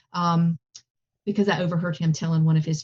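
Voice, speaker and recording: Heard in a dry, close sound with no echo, a woman with a Southern US accent has a fairly low, somewhat breathy voice and a dark, mellow tone. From US South. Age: 50s. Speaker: plant-based cooking instructor. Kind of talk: interview.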